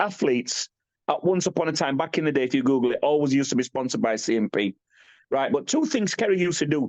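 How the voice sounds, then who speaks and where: Very fast and animated, a man with a British accent swings widely in pitch, the sound dry and close with no echo. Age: 50s. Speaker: bodybuilder. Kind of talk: podcast interview.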